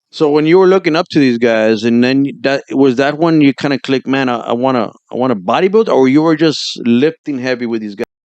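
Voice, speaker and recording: This is an unremarkable speaking voice with ordinary pitch variation. The pace is fairly quick. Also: man, medium pitch for a man. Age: 40s. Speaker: interview host. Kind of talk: interview.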